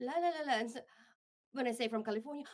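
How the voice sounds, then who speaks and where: This woman has an American accent and a fairly high pitch. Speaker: radio host. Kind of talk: interview. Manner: halting.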